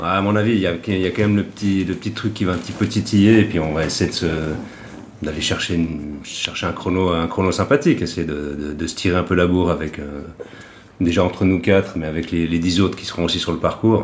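A man's very deep, low pitch, ordinary pitch variation, and a fairly quick pace. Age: 50s. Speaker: triathlete and club event organiser. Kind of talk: casual chat.

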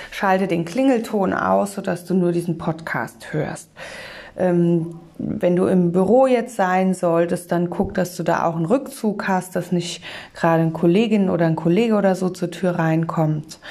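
A woman talks at a fairly slow pace in an unremarkable speaking voice. Her pitch varies in an ordinary way. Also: fairly low pitch for a woman. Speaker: meditation guide and communication trainer. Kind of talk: guided meditation. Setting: studio, solo podcast. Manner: calm, slow, soothing; gentle, warm, instructive.

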